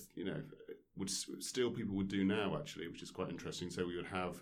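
Audible room echo follows this man as he talks at a fairly low pitch. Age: 40s. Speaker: former professional squash player. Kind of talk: casual interview. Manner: hesitant, many fillers.

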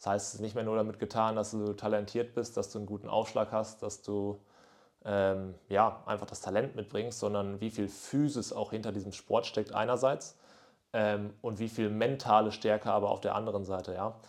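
This man speaks at a fairly low pitch and a moderate pace. His intonation is monotone and flat. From northwestern Germany, near Münster. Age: 20s. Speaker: podcast host. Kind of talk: casual solo monologue. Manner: casual with frequent fillers.

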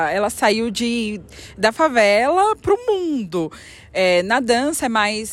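The speaker is a woman with a high pitch. Her voice rises and falls in very wide swings. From São Paulo, West Zone. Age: 20s. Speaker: dancer. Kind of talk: interview.

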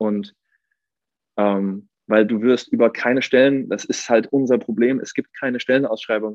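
Here a man speaks fairly slowly at a medium pitch. His intonation is monotone and flat, and the sound is dry and close with no echo. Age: 30s. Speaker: athletic trainer. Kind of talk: casual chat.

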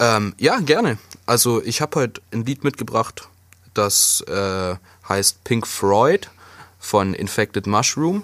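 A man speaks very slowly at a medium pitch with a bright, sharp tone. The sound is dry and close, with no echo. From Swabia, southwestern Germany. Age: 20s. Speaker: podcast co-host, chimney sweep. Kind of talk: casual chat.

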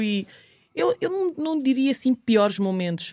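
Delivered at a fairly quick pace, the recording is very clean with a silent background and a dry, close sound with no echo. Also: woman. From Angola. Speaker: model and TV presenter. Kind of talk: podcast interview. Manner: hesitant, many repetitions.

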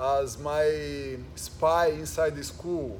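A man speaks with a Portuguese accent. His pace is very slow. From Brazil. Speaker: jiu-jitsu instructor. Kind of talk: casual chat.

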